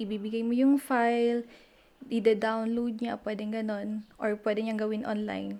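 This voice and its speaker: Speaking at a fairly slow pace with a Batanes accent, a woman has a fairly high pitch and a dark, mellow tone. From Philippines, Batanes (Sabtang). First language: Ivatan (speaking Tagalog). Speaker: math teacher. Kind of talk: interview.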